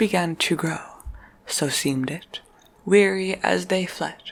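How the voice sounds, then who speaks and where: A woman speaks over noticeable background noise. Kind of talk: poetry reading. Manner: soft-spoken, whispered.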